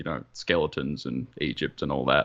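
Speaking with an Australian accent, a man uses very wide pitch swings and vocal fry. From Australia, Melbourne. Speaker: competitive wargamer. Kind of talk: casual chat.

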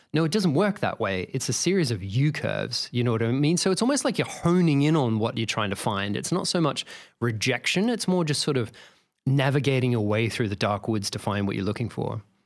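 Pitch swings very widely as a man with an Australian accent speaks at a fairly quick pace. The recording is very clean, with a silent background. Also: medium pitch for a man. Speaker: video game composer and sound designer. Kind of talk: casual interview chat.

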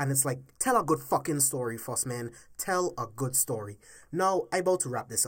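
The recording is very clean, with a silent background. A man with a fairly high, somewhat breathy voice speaks at a moderate pace. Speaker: podcast host and movie commentator. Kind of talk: angry rant about movie plot holes, casual and profane. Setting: home-recorded solo podcast. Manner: heated, emphatic, exasperated, ranting with cursing; repetitive, pressing, mimicking studio executives.

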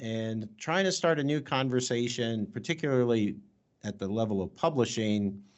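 In a normal speaking voice, a man talks at a moderate pace and a medium pitch, with lively intonation. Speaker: podcast host. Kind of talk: interview conversation. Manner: formal, academic.

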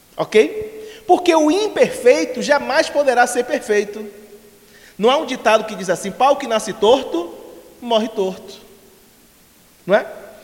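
A man speaks in an extremely high pitch with lively intonation at a fairly slow pace. Long, frequent pauses break up his speech over noticeable background noise. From Bahia, Brazil. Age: 40s. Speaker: spiritist lecturer. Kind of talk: lecture. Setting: spiritist center with live audience.

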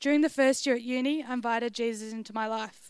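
A woman with an Australian accent, high-pitched, at a fairly quick pace. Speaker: university student. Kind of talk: testimony. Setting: church.

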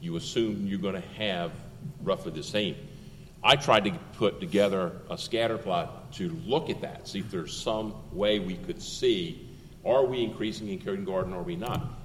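A man with an ordinary speaking voice talks at a fairly low pitch. His pace is moderate and his intonation lively. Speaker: school district administrator. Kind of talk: public meeting discussion.

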